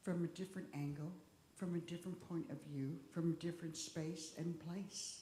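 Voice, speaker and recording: A woman speaks at a moderate pace with a dark, mellow tone and a somewhat breathy quality. Her pitch is fairly low with ordinary variation, and room echo is audible. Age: 60s. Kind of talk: talk at a church service.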